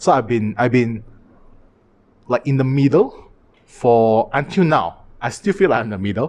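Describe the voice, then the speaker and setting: Speaking at a medium pitch and moderate pace, a man uses lively intonation broken by long, frequent pauses. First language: Chinese (Mandarin and Cantonese). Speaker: podcast host. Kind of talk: casual chat. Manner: halting.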